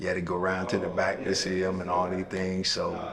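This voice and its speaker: A man speaks with a very deep, low pitch. Noticeable background noise and audible room echo surround his voice. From US South, eastern North Carolina. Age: 60s. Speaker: boxing coach. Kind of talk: interview.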